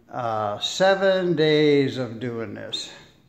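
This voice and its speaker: Audible room echo surrounds a man talking at a very slow pace. His voice is fairly high-pitched and relaxed in tone. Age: 70s. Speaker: DIY home renovator, airplane mechanic. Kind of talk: casual tutorial. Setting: at home, laying tile in a room. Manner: relaxed, halting with fillers.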